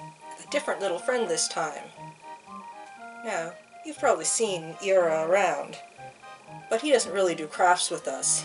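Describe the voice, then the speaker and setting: A woman of medium pitch speaks at a moderate pace with music in the background. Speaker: craft show host. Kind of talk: casual talk to camera. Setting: recorded on camera microphone.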